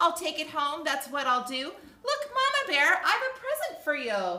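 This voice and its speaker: At a moderate pace, a squeaky, put-on character voice does the talking. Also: woman, high pitch for a woman. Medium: read story.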